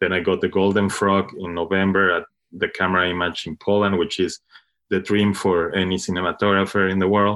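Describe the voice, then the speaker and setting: Fairly low in pitch, a man speaks with a Spanish accent and monotone, flat intonation. His pace is fairly quick. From Mexico. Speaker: cinematographer. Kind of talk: interview. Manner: halting, frequent fillers and repetitions.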